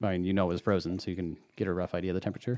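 A very clean recording of a man against a silent background, the sound dry and close without any echo. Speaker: podcast host. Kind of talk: casual chat.

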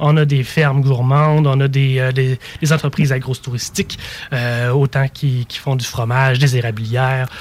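Over noticeable background noise, a man with a Quebec accent speaks at a medium pitch and moderate pace in a monotone, flat intonation. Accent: Québécois French. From Mauricie, Quebec. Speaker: tourism marketing advisor. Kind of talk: casual chat.

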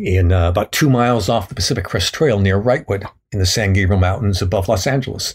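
A man with an American accent, a fairly low pitch and ordinary pitch variation talks at a fairly quick pace, somewhat breathy, on a very clean recording with a silent background. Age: 70s. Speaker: thru-hiker and author. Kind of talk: casual interview, storytelling.

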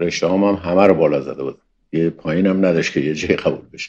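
A man with a very deep, low pitch talks with fairly even intonation. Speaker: former expelled student, Baha'i. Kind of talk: interview testimony.

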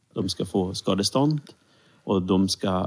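An unremarkable speaking voice from a man, fairly low in pitch, at a fairly slow pace. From Sweden, Serbian-born Roma. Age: 30s. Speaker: civil servant and minority rights consultant. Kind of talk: interview.

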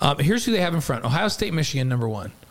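A man with an American accent speaks in a fairly high pitch with very wide pitch swings over noticeable background noise. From New York. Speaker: podcast co-host. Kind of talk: casual chat. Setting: studio.

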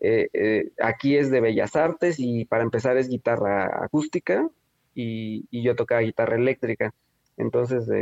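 A man speaks with a Mexican accent at a medium pitch and fairly even intonation. The sound is dry and close, with no echo. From Mexico, Oaxaca city. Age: young. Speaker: filmmaker. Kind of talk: interview. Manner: halting, many fillers and repetitions.

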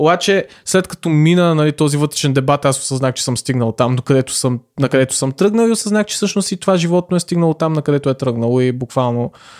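A man with a fairly high pitch talks at a fairly quick pace with lively intonation, in an unremarkable speaking voice. The sound is dry and close, with no echo. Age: 20s. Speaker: podcaster. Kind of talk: solo monologue.

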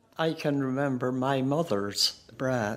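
Speaking very slowly, a woman with an Irish accent has a very deep, low pitch. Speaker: interviewee, older woman. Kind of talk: reminiscence.

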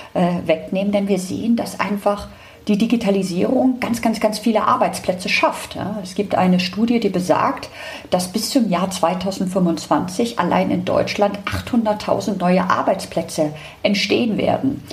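With noticeable background noise, a woman speaks at a fairly slow pace with ordinary pitch variation. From Hamburg, northern Germany. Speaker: tech company director. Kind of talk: interview.

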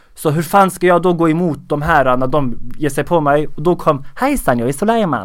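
With an ordinary speaking voice, a man talks at a moderate pace and fairly high pitch, using ordinary pitch variation and hardly any pauses. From Sweden, Skåne. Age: 20s. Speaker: comedian and social media creator. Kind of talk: casual interview.

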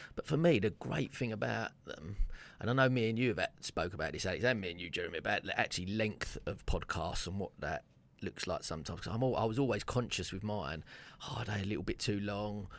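A man with a fairly low pitch talks very fast. His intonation is lively. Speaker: radio host. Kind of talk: radio show chat. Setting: radio studio.

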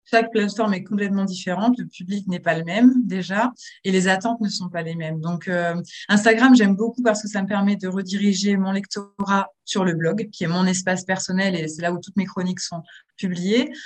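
A woman speaks with a plain, everyday voice at a fairly quick pace. Her medium pitch holds fairly even intonation. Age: 30s. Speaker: book influencer. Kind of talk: interview.

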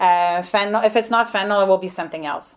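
A woman with a French Canadian accent speaks at medium pitch with fairly even intonation, in a very clean recording with a silent background. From Quebec, Montreal. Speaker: nursing professor. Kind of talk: interview.

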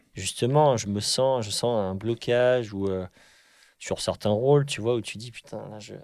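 An ordinary speaking voice from a man at medium pitch, with ordinary pitch variation and a fairly slow pace, in a very clean recording with a silent background. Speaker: podcast host, actor. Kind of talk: casual interview chat.

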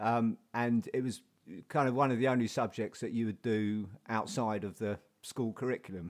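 With fairly even intonation, a man talks at a medium pitch and a moderate speed. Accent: South London. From South London. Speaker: painter and printmaker. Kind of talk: casual interview. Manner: halting, many repetitions.

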